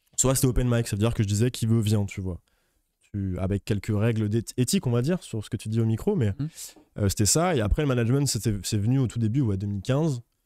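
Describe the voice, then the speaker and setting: A dark, mellow tone at a fairly quick pace, with ordinary pitch variation, a dry sound with no echo, and a quiet background. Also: man, medium pitch for a man. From France, Lyon; France. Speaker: music manager; guest. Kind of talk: casual interview chat. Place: studio. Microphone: studio mic.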